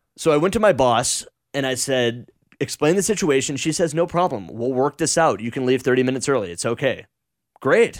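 A man's plain, everyday voice, fairly quick in pace with lively intonation, on a very clean recording against a silent background. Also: medium pitch for a man. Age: 20s. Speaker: radio talk show host. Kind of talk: casual chat.

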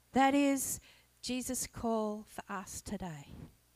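In a dry, close recording with no echo, a woman with an Australian accent talks with lively intonation. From Australia, Blue Mountains (New South Wales). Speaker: lay preacher. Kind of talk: sermon.

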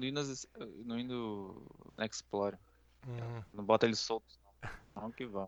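A man at a medium pitch, with fairly even intonation, a moderate pace and long, frequent pauses. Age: 30s. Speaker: gaming podcast co-host. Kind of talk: casual chat.

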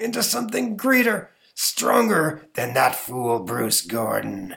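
This man puts on a raspy character voice. His pitch sits in the medium range. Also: fairly slow pace. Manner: dramatic.

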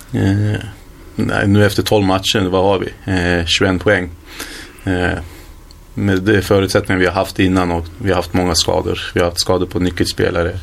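A man with a very deep, low voice speaks at a moderate pace with monotone, flat intonation and very even loudness. Noticeable background noise is present. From Sweden, Hallstahammar (Västmanland). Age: 20s. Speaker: footballer. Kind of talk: interview.

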